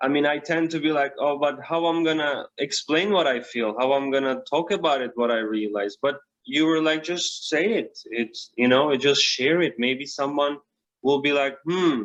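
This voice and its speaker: Here a man talks in a fairly high pitch at a moderate pace. His pitch variation is ordinary. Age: young. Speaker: spiritual guide. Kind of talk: casual chat. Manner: halting.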